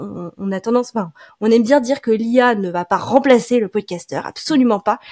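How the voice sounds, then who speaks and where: A woman's fairly high voice in an ordinary speaking voice, with ordinary pitch variation and a dry, close sound free of echo. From France. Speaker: podcast marketing specialist. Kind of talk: casual interview.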